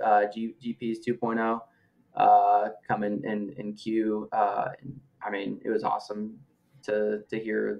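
Speaking very slowly, a man with an American accent holds a medium pitch. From Nebraska. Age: 20s. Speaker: fitness group member, data analyst; data analyst. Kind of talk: podcast interview. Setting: call. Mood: cheerful, smiling. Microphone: video call.

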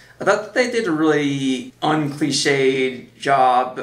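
With audible room echo, a man speaks at a very slow pace. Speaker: video reviewer. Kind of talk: casual TV show commentary. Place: home room.

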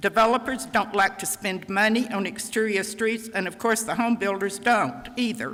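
A woman's fairly high voice at a moderate pace, with fairly even intonation and noticeable background noise. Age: 80s+. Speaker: retired county planner speaking at public comment. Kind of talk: public comment at council meeting. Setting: town council meeting chamber.

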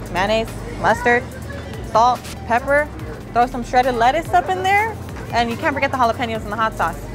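A woman talks at a fairly quick pace with a high pitch. Clear music plays in the background. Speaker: fitness influencer. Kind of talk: casual vlog chat. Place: shop.

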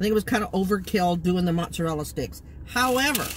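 A woman's voice, with very wide pitch swings, comes through light background noise in a dry sound with no echo. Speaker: food vlogger. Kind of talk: casual vlog chat. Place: car. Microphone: phone near.

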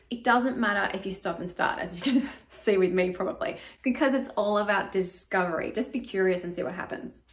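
A woman at a fairly quick pace, with lively intonation. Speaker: acting coach. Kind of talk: tutorial. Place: home room. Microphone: camera far.

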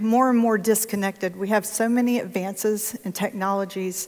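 The woman speaks with fairly even intonation. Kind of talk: testimony; public talk with guided imagery. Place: church. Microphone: handheld.

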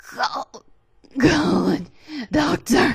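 A put-on character voice, high-pitched, raspy and strained. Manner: gasping, strained.

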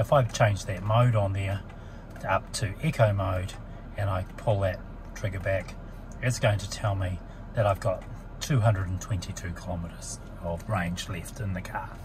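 Over noticeable background noise, a man speaks fairly slowly in a fairly low pitch with fairly even intonation and long, frequent pauses. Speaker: car salesperson or owner explaining features. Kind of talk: tutorial. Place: car. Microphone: phone near.

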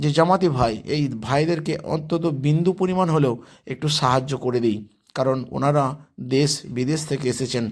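The man's voice is fairly high, with ordinary pitch variation, in a normal speaking voice. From West Bengal, Hooghly district. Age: 50s. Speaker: vlogger. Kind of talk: vlog walkthrough.

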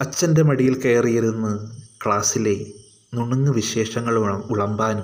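Just plain reading aloud

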